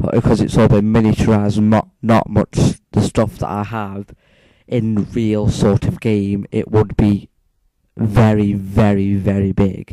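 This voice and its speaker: Fairly slow, monotone delivery with flat intonation and a dry, close sound with no echo. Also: man, fairly low pitch for a man. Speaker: gaming YouTuber. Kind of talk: gameplay commentary. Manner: volume goes loud and quiet; talking louder than last time. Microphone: moves close to and away from mic.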